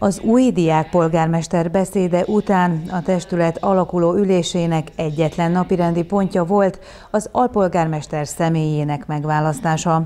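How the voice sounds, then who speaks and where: Using a normal speaking voice, a woman talks at a moderate pace at a fairly low pitch with fairly even intonation and hardly any pauses. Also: very even loudness. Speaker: news reporter. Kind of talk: news reading.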